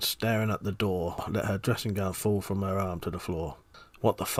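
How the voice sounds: The delivery is a natural reading voice. Its intonation is fairly even.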